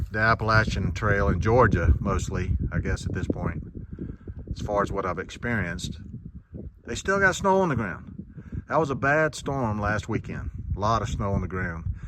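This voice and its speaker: Lively intonation from a man with a fairly low pitch at a moderate pace, amid noticeable background noise. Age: 60s. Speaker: long-distance hiker. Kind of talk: casual vlog talk to camera.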